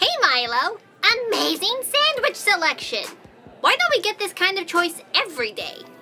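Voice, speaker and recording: Faint music plays in the background as a put-on character voice at an extremely high pitch swings very widely at a moderate pace. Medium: audio drama.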